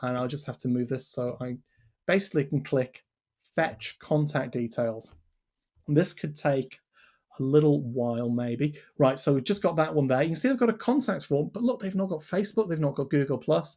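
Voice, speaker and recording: A somewhat breathy male voice, fairly high in pitch, with lively intonation. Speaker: webinar presenter demonstrating software. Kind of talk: live webinar software demo. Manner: fast.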